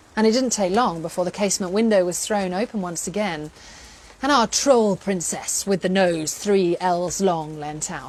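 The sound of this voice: Here is an unforced reading voice. Its pitch varies in an ordinary way.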